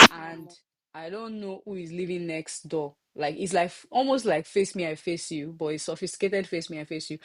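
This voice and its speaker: A woman with a Nigerian accent speaks at a fairly quick pace in a fairly low pitch. Her loudness swings a lot against a quiet background. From Nigeria (Lagos). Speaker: podcast host. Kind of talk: casual chat.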